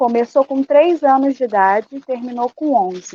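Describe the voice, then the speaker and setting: At a very slow pace, a woman speaks in a high pitch with ordinary pitch variation and a dark, mellow tone, recorded with a dry, close sound and no echo. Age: 30s. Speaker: activist. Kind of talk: testimony.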